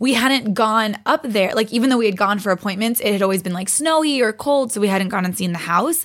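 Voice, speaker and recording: A woman with an unremarkable speaking voice talks at a fairly quick pace, her pitch fairly high with ordinary pitch variation. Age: 20s. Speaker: podcast guest, fitness competitor. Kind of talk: casual chat.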